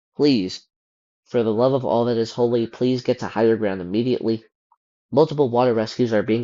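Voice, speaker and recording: This man speaks at a fairly quick pace in a medium pitch. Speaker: weather video creator. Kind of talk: weather briefing, partly reading forecast text aloud. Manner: fast; disfluent, many fillers.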